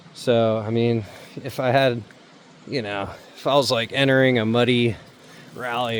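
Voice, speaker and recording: Monotone, flat intonation marks the speech. The man talks at a medium pitch. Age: 40s. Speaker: motorcycle travel vlogger. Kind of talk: casual vlog talk. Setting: outdoors. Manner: casual, filler-heavy.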